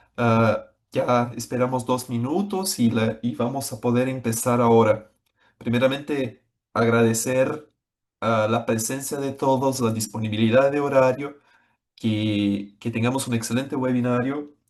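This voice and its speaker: A man with a Brazilian accent speaks at a fairly slow pace, his medium pitch held in a fairly even intonation. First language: Portuguese (speaking Spanish). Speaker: software executive presenting a webinar. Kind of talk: webinar presentation. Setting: online webinar. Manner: hesitant, with frequent fillers.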